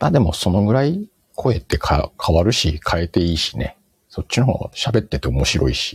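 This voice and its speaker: A man's very deep, low voice at a moderate pace, with very wide pitch swings and a dry, close sound with no echo. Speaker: podcast host. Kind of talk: casual chat. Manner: speeds up when excited.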